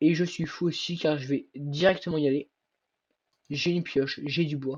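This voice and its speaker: A moderate pace carries the speech. The voice is somewhat breathy, and its intonation stays fairly even. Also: man. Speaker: gaming youtuber. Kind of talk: gameplay commentary.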